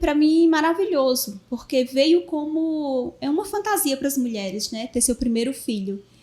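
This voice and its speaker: A woman with a Paraíba accent speaks in a high voice with lively intonation. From Brazil, Paraíba. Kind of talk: podcast interview. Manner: halting, many fillers.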